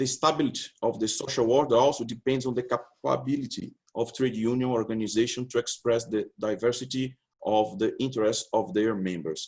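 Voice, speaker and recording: A man with a Portuguese accent speaks at a fairly quick pace. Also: medium pitch for a man, ordinary pitch variation. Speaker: labour law researcher. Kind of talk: conference presentation. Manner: halting.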